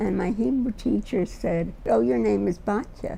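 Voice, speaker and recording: A woman with a New York accent speaks at a fairly slow pace with lively intonation over background music. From US, Brooklyn, New York. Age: 80s+. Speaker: retired teacher. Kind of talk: interview testimony.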